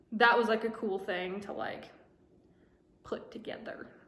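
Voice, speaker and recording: This woman keeps her intonation fairly even, with audible room echo and noticeable background noise in the recording. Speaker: vlogger. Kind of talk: casual vlog monologue. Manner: fast.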